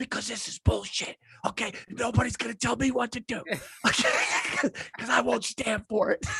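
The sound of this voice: Whispering in a put-on character voice, a man sounds raspy at a moderate pace with big swings in loudness, the sound dry and close with no echo.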